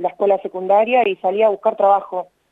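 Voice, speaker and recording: Her intonation stays monotone and flat as the woman speaks. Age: 30s. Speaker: sex worker and union leader, author. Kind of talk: radio interview.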